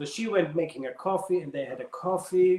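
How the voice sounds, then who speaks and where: Someone speaks with a German accent at a moderate pace. Noticeable background noise runs underneath. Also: man. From Germany. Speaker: ballroom dancer and dance teacher. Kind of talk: casual interview chat. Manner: animated storytelling with repetitions.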